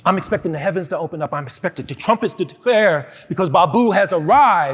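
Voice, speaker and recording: A man speaks with a high pitch and lively intonation. His tone is animated. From Philadelphia, Pennsylvania. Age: 60s. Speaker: keynote speaker, prevention expert. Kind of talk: keynote speech. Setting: stage with audience. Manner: animated, repetitive.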